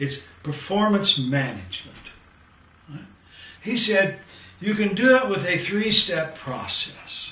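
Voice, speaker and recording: Projecting his raised, high voice at a fairly slow pace, a man uses lively intonation, big swings in loudness and long, frequent pauses, with noticeable background noise and audible room echo. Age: 70s. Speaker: professor. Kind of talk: lecture.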